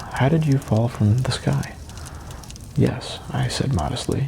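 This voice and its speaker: At a fairly slow pace, a man with a medium pitch speaks in a soothing tone over noticeable background noise. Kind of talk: audiobook reading.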